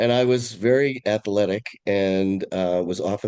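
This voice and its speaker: Speaking fairly slowly with a Californian accent, a man has a very deep, low pitch and a dark, mellow tone. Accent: California. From California, San Francisco Bay Area (Oakland). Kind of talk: interview conversation. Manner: halting, frequent self-corrections.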